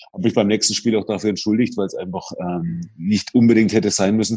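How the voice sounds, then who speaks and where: An unremarkable speaking voice from a man, medium in pitch, at a fairly quick pace. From Franconia, Bavaria. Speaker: basketball arena announcer and radio presenter. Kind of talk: casual chat.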